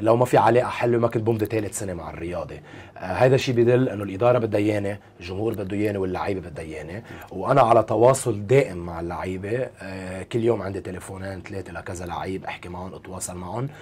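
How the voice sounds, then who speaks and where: A man talks at a very fast pace in a fairly low voice. His loudness swings a lot. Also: ordinary pitch variation, hardly any pauses. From Lebanon. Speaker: basketball coach; basketball club head coach, guest. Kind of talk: interview. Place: studio.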